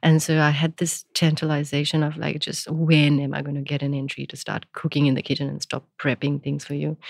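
The speaker goes at a fairly quick pace with monotone, flat intonation. The sound is dry and close, without echo. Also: woman, very deep, low pitch for a woman. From India, Gujarat. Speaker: chef and restaurant owner. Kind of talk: interview.

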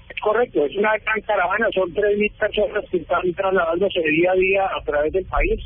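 A man's high-pitched voice at a moderate pace, fairly even in intonation with hardly any pauses, over noticeable background noise. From Colombia, Medellín. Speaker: sports agency director. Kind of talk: interview.

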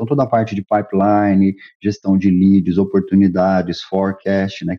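At a fairly quick pace, a man speaks in a plain, everyday voice that sits fairly low in pitch. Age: 50s. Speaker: tech executive. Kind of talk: interview. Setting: remote call.

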